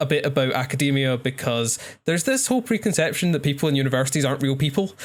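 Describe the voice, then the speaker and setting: A man with a Scottish accent talks very fast at a fairly high pitch. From Scotland. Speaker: podcast co-host, astrophysics graduate. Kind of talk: casual chat.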